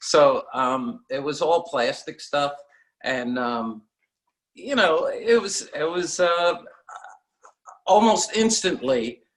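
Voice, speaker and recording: A man with an American accent and a fairly high pitch talks at a very slow pace, his intonation lively. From New York (Queens). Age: 60s. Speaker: seashell guitar pick maker. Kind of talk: interview.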